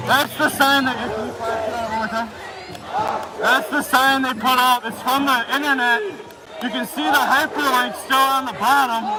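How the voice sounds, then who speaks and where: Over crowd noise and audible room echo, a man speaks in a raised, projected voice at an extremely high pitch. His pace is moderate and his intonation fairly even. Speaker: livestreamer at protest. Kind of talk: live street commentary. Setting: outdoors at night protest. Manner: loud. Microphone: muffled by face mask.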